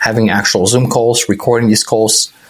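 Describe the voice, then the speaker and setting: Speech with a non-native accent amid noticeable background noise. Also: man. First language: not English. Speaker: startup founder. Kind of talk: podcast interview.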